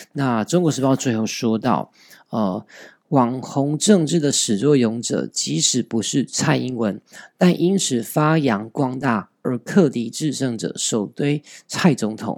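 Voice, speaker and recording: A man speaks with a Taiwanese accent at a very slow pace and medium pitch, using lively intonation. The sound is dry and close with no echo, on a very clean recording with a silent background. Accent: Taiwanese Mandarin. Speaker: podcast host. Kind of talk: news commentary podcast.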